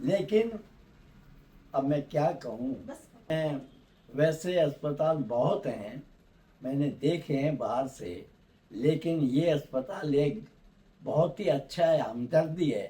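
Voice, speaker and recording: Somewhat breathy and dark, mellow in tone, a man's fairly high-pitched voice shows ordinary pitch variation and long, frequent pauses. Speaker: dental implant patient. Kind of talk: interview answer.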